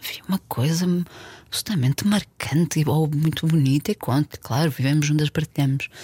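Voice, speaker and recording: A woman talks at a fairly quick pace in a very deep, low pitch. Her dark, mellow tone is somewhat breathy, with ordinary pitch variation. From Portugal, Porto. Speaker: film director. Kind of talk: casual chat.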